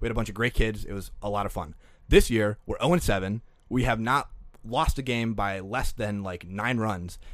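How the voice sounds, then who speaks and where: In a very clean recording with a silent background, a man with an American accent and a plain, everyday voice talks at a fairly low pitch and a moderate pace, with ordinary pitch variation. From Green Bay, Wisconsin. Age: 20s. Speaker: podcast intern producer. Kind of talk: casual chat. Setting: studio.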